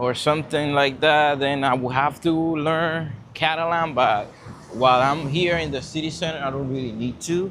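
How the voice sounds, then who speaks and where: Someone with a Spanish accent speaks at a moderate pace with fairly even intonation. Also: man, fairly high pitch for a man. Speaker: vlogger. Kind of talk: casual vlog monologue. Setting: outdoors, walking in city. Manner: casual, many fillers.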